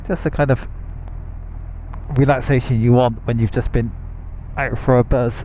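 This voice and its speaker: In a British accent, a man with a dark, mellow tone and medium pitch speaks at a moderate pace with fairly even intonation and long, frequent pauses. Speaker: motorcycle vlogger. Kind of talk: casual unscripted talk while riding. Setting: helmet microphone, outdoors.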